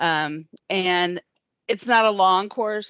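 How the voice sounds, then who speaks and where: A woman's fairly low voice, an ordinary speaking voice with fairly even intonation, recorded dry and close with no echo against a quiet background. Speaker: transportation agency staff presenting training. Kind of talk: training presentation. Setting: video call.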